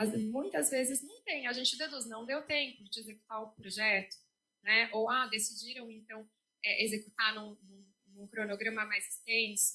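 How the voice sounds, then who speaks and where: Here a woman speaks at a fairly high pitch in a bright, sharp tone. Her loudness swings widely. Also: fairly even intonation, moderate pace. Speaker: legal office staff presenter. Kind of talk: institutional presentation. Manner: hesitant, many fillers.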